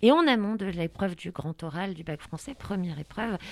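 A woman speaks in a normal speaking voice at a medium pitch, fairly quickly. Her intonation is lively, and the recording is very clean with a silent background. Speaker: radio host. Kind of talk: radio show. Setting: studio. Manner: playful.

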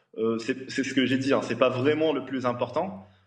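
Room echo is audible around this man. He keeps his intonation fairly even. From Tunisia. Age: 30s. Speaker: engineer. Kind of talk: TV panel interview. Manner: hesitant, repetitive.

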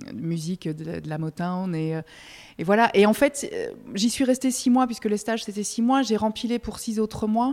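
A woman's lively intonation at a moderate pace, in a very clean recording with a silent background. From Belgium. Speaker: music press officer. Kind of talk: casual interview. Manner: hesitant, many repetitions and fillers.

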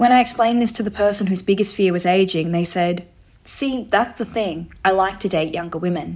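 Using a normal speaking voice, a woman talks at a fairly quick pace with a medium pitch and fairly even intonation. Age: 30s. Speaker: sex worker and columnist. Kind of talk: reading aloud.

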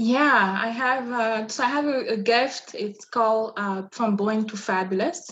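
A woman with a French accent sounds somewhat breathy and speaks at a fairly slow pace. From Republic of the Congo (Brazzaville). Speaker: image and style consultant. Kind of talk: interview.

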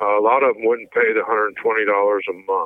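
A man speaks at a moderate pace with a Missouri accent. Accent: Midwestern American (Missouri). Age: 50s. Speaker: convicted killer, interviewee. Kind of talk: interview testimony.

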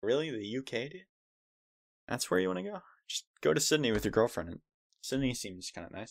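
With an American accent, a man speaks at medium pitch, with very wide pitch swings, big swings in loudness and long, frequent pauses. The recording is very clean with a silent background. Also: fairly quick pace. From United States. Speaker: podcast co-host. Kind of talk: casual chat.

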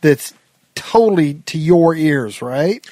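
A man with a Midwestern accent and a high pitch talks very slowly with ordinary pitch variation. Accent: general American Midwest. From Nebraska. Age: 50s. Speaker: podcast host and songwriter. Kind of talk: casual interview chat.

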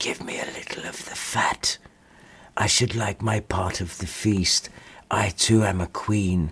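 A man whispering in a put-on character voice at a fairly slow pace. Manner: pleading but proud.

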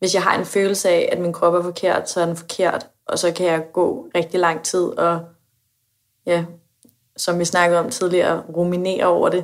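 The loudness stays very even. The intonation is monotone and flat. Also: woman, fairly low pitch for a woman, fairly slow pace. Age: 20s. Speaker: university student sharing personal mental health experience. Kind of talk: personal interview conversation. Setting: home kitchen. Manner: hesitant, many filler sounds.

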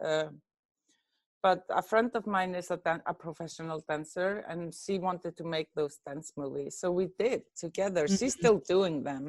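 With an Icelandic accent, a woman speaks at a fairly low pitch and a moderate pace, with ordinary pitch variation. The sound is dry and close with no echo, over a quiet background. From Iceland, Reykjavik. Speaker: film editor. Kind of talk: interview.

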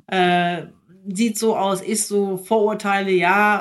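A woman uses an ordinary speaking voice at a medium pitch, with fairly even intonation. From Germany, near Minden (East Westphalia). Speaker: investment entrepreneur. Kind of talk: interview conversation.

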